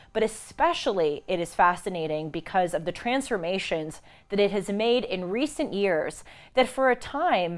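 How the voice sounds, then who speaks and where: Here a woman talks at a moderate pace. Her intonation is lively. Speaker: show host. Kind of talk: news commentary. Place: studio. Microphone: lapel.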